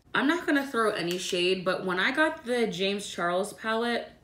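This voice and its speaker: A woman speaks at a moderate pace, with audible echo in the room. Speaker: beauty vlogger. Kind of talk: tutorial.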